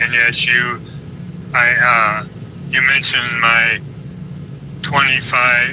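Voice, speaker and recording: The voice carries an American accent. Noticeable background noise runs underneath. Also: man. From United States. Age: 70s. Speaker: retired airline pilot and whistleblower. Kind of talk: online audio chat, guest account. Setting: public online audio space.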